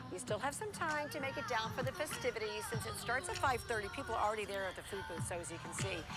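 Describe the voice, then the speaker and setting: With music playing in the background, a woman speaks at a fairly high pitch with an American accent. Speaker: television news anchor. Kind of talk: local TV evening newscast anchor read.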